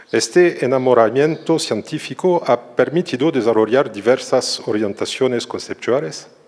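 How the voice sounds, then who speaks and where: A man speaks with a strong French accent at a moderate pace, with hardly any pauses. His pitch is medium, with ordinary variation. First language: French (speaking Spanish). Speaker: social psychology professor. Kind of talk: lecture. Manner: careful, non-fluent Spanish.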